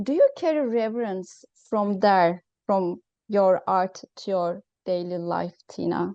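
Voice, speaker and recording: At a very slow pace, a woman with a non-native accent talks at medium pitch with ordinary pitch variation, the sound dry and close with no echo against a quiet background. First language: not English. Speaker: interviewer. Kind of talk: interview. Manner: halting.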